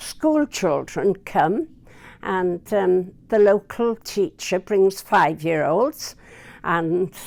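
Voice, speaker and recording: Speaking at a very slow pace with lively intonation, a woman at medium pitch is recorded very cleanly against a silent background. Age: 80s+. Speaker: care housing resident. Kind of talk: testimonial interview.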